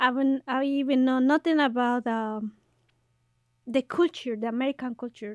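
The speaker has a Mexican accent. The intonation is fairly even. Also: woman, high pitch for a woman, moderate pace, dry, close sound with no echo, very clean recording, silent background. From Mexico. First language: Spanish. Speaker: podcast host and activist. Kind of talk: casual bilingual interview.

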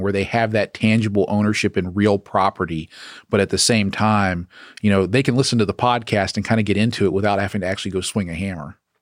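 A man with an American accent at a fairly low pitch and very fast pace, with ordinary pitch variation, in a very clean recording with a silent background and a dry, close sound with no echo. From US South, Atlanta area, Georgia. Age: 30s. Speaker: property management company CEO, former pilot. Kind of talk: interview. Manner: hesitant, many fillers.

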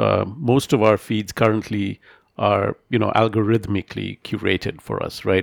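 A man at medium pitch with vocal fry and a moderate pace, the sound dry and close with no echo, in a very clean recording with a silent background. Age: middle-aged. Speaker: podcast host. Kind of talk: interview.

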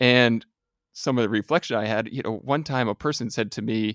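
A man's medium-pitched, ordinary speaking voice at a moderate pace, with ordinary pitch variation and dry, close sound with no echo. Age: 40s. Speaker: podcast host, coach. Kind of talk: interview; scripted intro.

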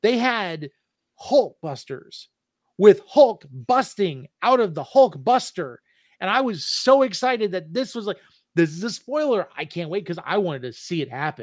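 Loudness swings widely and pitch swings very widely at a moderate pace in a very clean recording with a silent background. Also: man, high pitch for a man. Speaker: podcast host. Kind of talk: casual chat.

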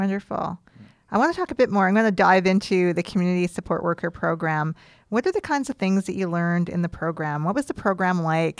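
A woman speaks very fast at a medium pitch with a western Canadian accent, her voice dry and close with no echo on a very clean recording against a silent background. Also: ordinary pitch variation. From Canada, British Columbia (East Kootenays). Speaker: podcast host. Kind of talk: interview; scripted narration. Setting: studio.

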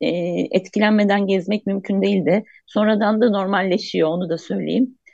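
This woman has an ordinary speaking voice, pitched at a medium level with ordinary pitch variation. She talks at a moderate pace. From Antakya, Hatay, Turkey. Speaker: columnist. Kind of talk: radio interview. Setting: video call.

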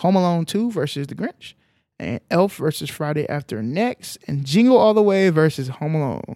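A man with a fairly high pitch speaks at a moderate pace in an animated tone. The recording is very clean, with a silent background and a dry, close sound with no echo. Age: 30s. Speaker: podcast co-host. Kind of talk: casual chat.

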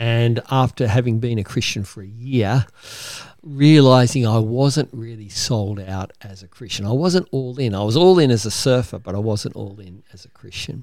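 A man with an Australian accent and big swings in loudness. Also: medium pitch for a man, ordinary pitch variation, moderate pace. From Sydney, Australia. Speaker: ministry founder. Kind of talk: interview.

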